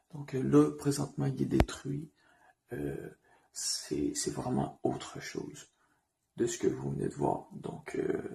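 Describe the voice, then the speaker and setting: Whispering, the speaker goes at a very slow pace. Pauses are long and frequent. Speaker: urban explorer vlogger. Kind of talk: vlog narration. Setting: outdoors at night, ruined building. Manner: hesitant, many fillers.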